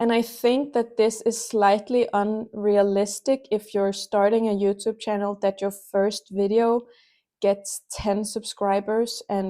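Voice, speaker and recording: A woman with a dark, mellow tone and fairly high pitch speaks at a very slow pace in a monotone, flat intonation. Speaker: small knitting youtuber. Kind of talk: casual vlog talk with screen walkthrough. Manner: casual with fillers and self-corrections.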